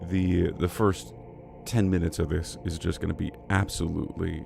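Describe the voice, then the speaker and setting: Music plays behind a man with a very deep, low pitch. He speaks at a moderate pace with ordinary pitch variation. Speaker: livestreamer. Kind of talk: casual livestream chat. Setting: livestream.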